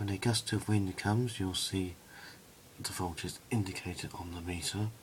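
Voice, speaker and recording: A soft-spoken man with a very deep, low pitch, somewhat breathy, at a fairly slow pace. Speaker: hobbyist video maker. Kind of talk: tutorial. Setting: indoors at home at night.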